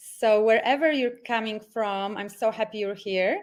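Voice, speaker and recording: This woman has a fairly high pitch and speaks with a Polish accent. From Poland. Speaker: life coach. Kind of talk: online workshop presentation. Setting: video call from home. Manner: enthusiastic.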